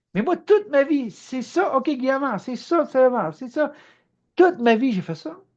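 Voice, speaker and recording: A man with a Quebec accent talks at a fairly slow pace against a quiet background. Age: 60s. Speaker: spiritual teacher. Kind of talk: spontaneous spiritual monologue.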